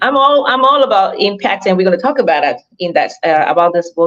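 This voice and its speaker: With a Cameroonian accent, a woman speaks at a fairly quick pace in an animated tone and a medium pitch. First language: not English (English is third language). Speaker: author and leadership coach. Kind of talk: interview.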